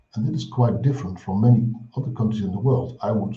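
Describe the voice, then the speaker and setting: Amid audible room echo, a man with a Dutch accent and a medium pitch speaks with a somewhat breathy, dark, mellow tone and fairly even intonation. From Netherlands. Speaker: clinical psychology professor. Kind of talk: lecture.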